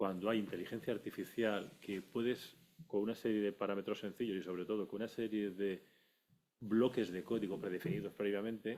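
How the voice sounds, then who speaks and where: A man's plain, everyday voice, fairly low in pitch, with fairly even intonation at a fairly quick pace. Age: 60s. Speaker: audience member, industrial engineer. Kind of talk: audience question.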